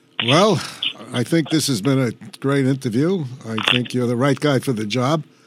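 A man with an American accent and an ordinary speaking voice, medium pitch and a moderate pace. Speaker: podcast host, retired police captain. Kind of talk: interview. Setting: studio.

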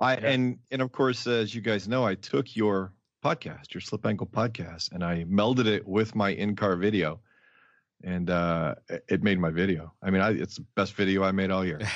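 With an unremarkable speaking voice, a man talks at a moderate pace, his pitch fairly low and his pitch variation ordinary. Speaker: racing driver. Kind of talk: casual chat. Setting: video call.

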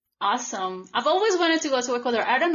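A woman speaks with a Colombian accent. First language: Spanish. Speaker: podcast host. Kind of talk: casual podcast conversation.

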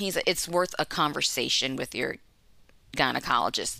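On a very clean recording with a silent background, a woman with an American accent and a bright, sharp tone speaks at a moderate pace. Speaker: health policy director. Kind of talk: personal story interview.

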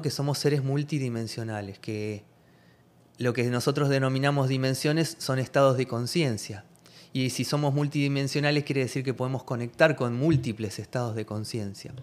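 The recording is very clean, with a silent background. A man with an ordinary speaking voice talks at a medium pitch and a fairly quick pace, using ordinary pitch variation. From Argentina. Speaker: holistic therapeutic coach and shaman. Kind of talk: interview chat.

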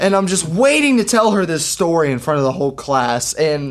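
A man's fairly high voice, with ordinary pitch variation, moves at a moderate pace against noticeable background noise. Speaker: podcast co-host. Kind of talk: casual chat.

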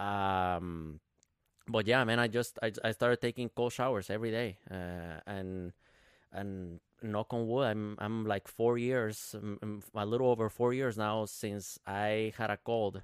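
In a Spanish accent, a man speaks with fairly low pitch and fairly even intonation, and the sound is dry and close with no echo on a very clean recording with a silent background. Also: fairly slow pace. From Guatemala. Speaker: triathlete and fitness business owner. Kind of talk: casual chat.

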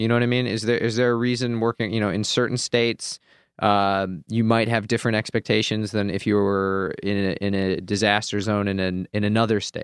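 Male voice in a flat monotone, dry and close with no echo, over a quiet background. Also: fairly low pitch for a man, fairly quick pace. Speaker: podcast co-host. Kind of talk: casual chat. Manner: jokey, playful.

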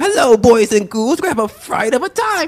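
A man performs a put-on character voice at an extremely high pitch, speaking at a moderate pace. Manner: creepy, theatrical.

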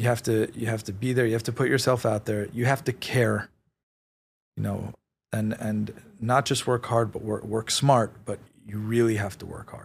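On a very clean recording with a silent background, a man with a New York accent talks at a moderate pace, his medium-pitched voice somewhat breathy with monotone, flat intonation. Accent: New York American. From New York City (Queens, Manhattan). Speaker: real estate executive. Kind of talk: interview. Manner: hesitant, many fillers.

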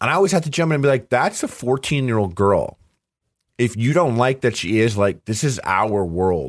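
On a very clean recording with a silent background, a man at medium pitch makes very wide pitch swings while keeping very even loudness at a moderate pace. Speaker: YouTube cooking show host. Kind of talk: casual chat. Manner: halting.

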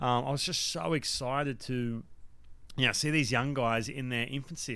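In an Australian accent, a man talks with a bright, sharp and animated tone. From Australia, Newcastle NSW. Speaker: former baseball pitcher and broadcaster. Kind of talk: casual interview chat. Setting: remote call.

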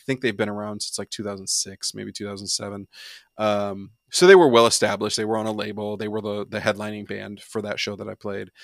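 Fairly low male voice at a very fast pace. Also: big swings in loudness, very clean recording, silent background. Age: 30s. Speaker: musician. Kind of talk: casual chat. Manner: animated.

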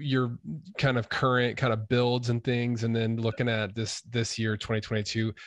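A man speaks with an American accent at a medium pitch and a moderate pace. His intonation is monotone and flat, and his loudness stays very even. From US, Idaho. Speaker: podcast host and YouTuber. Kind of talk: casual interview chat.

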